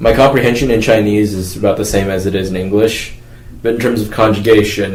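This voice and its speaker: Someone with an American accent talks at a fairly quick pace, with audible room echo and noticeable background noise. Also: man. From Florida, US. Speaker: university student. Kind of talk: interview answers.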